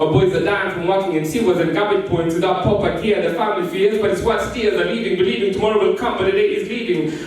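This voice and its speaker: Against noticeable background noise, a man with a high voice speaks intensely at a very fast pace, hardly pausing at all. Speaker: spoken word poet. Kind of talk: spoken word performance. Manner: animated; intense, emotive.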